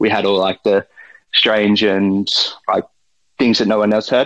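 Delivered at a moderate pace, the speech comes in an Australian accent with monotone, flat intonation. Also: man. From Australia, outer Melbourne. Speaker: forager and restaurant supplier. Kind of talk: interview. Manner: hesitant, many fillers.

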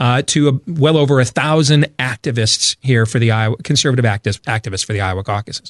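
A man with an American accent and a plain, everyday voice, at a moderate pace with ordinary pitch variation, in a dry, close sound with no echo. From Michigan. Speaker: talk show host. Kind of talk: radio talk show.

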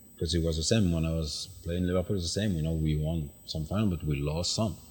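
A man's very deep, low, somewhat breathy voice with a French accent, monotone and flat, at a fairly quick pace. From France, Paris. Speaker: retired footballer. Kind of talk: interview. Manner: halting.

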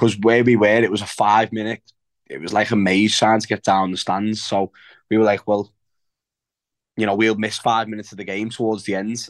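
A man speaks with a Liverpool accent, his pitch fairly low and his intonation flat and monotone. The sound is dry and close with no echo over a quiet background, and his pauses are long and frequent. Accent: Scouse. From Liverpool, England. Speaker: professional footballer. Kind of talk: casual chat.

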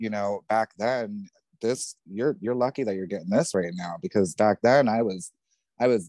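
With an American accent, a man speaks in a tone that is dark and mellow.

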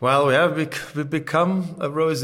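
A man speaks with a German accent at a moderate pace. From Germany. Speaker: winemaker. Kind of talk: interview.

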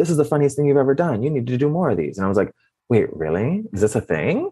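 A man talking at a very fast pace, with very wide pitch swings. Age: 30s. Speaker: TikTok comedian. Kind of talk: casual chat. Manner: animated.

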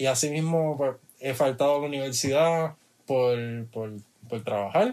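Fairly high in pitch, a man with a plain, everyday voice speaks at a moderate pace with ordinary pitch variation. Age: 20s. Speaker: music producer. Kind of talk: casual interview chat.

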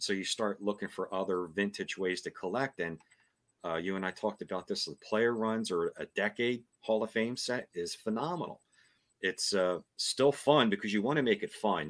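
A man's fairly low, plain, everyday voice at a moderate pace, with ordinary pitch variation and a dry, close sound with no echo. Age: 50s. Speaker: card collector. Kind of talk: casual chat.

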